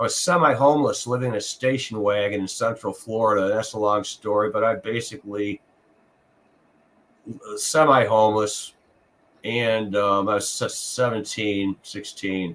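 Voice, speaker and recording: A man's fairly low voice varies its pitch in an ordinary way, moving at a moderate pace. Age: 60s. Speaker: actor and singer. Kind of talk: interview. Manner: halting.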